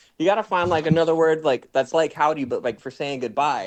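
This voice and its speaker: A man with an American accent at a very fast pace, against a quiet background. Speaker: streamer. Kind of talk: casual chat. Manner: animated.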